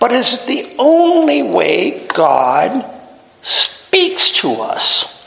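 A man speaks against noticeable background noise. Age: 70s. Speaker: pastor. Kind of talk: sermon. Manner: halting.

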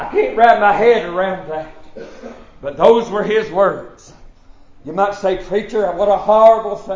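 A man with a Southern US accent and a high pitch, at a fairly slow pace with ordinary pitch variation, long, frequent pauses and big swings in loudness, amid audible room echo and noticeable background noise. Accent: Southern American. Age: 40s. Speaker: pastor. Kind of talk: sermon. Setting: church. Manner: halting.

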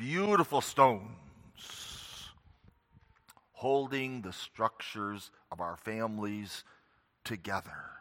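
A solemn, bright and sharp tone at a very slow pace, with long, frequent pauses and ordinary pitch variation. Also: man, medium pitch for a man. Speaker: preacher. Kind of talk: sermon; fervent closing prayer. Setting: church. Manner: earnest, solemn, reverent.

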